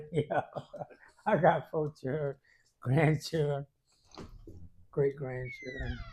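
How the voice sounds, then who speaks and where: Speaking at a very slow pace with long, frequent pauses, the voice carries a Georgia accent. It is somewhat breathy, with fairly even intonation. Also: man, fairly high pitch for a man. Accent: Southern US, Georgia. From Hinesville, Georgia. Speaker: barber. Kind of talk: interview answer. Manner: casual, relaxed.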